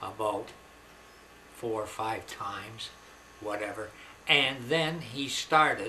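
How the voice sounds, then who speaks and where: Speaking at a very slow pace, a man uses ordinary pitch variation over noticeable background noise. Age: old. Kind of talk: personal testimony to camera. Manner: halting, conversational.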